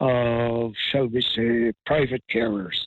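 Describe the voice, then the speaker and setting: A man with a County Clare accent speaks with fairly even intonation. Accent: Irish, County Clare. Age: 70s. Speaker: pensioner. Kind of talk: interview answer.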